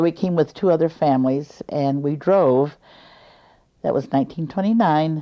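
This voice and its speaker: A woman with an American accent at a moderate pace, her very deep, low pitch showing ordinary variation. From US Midwest (Fort Leavenworth, Kansas). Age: 80s+. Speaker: interviewee recalling family history. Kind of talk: oral history interview.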